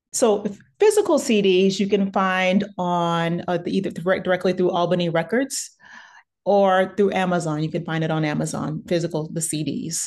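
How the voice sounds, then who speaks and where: Against a quiet background, a woman talks at a moderate pace in a medium pitch with ordinary pitch variation. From southeast Texas (Beaumont). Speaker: classical pianist and professor. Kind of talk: interview. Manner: halting, many fillers.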